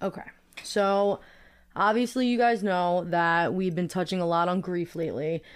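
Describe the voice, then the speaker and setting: With an American accent and ordinary pitch variation, a woman speaks at a medium pitch and moderate pace in a very clean recording with a silent background. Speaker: podcast host. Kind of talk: casual chat.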